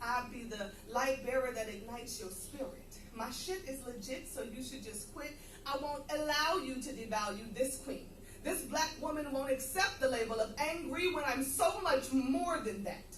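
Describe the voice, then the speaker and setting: In an American accent, a woman with a high pitch uses lively intonation at a moderate pace, with audible room echo and noticeable background noise. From US Northeast, Philadelphia. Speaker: poet. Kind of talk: stage introduction; spoken word performance.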